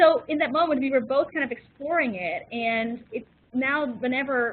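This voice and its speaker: With ordinary pitch variation, a woman talks at a high pitch. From Netherlands. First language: Dutch. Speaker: diversity consultant, webinar facilitator. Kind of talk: webinar presentation. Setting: webinar.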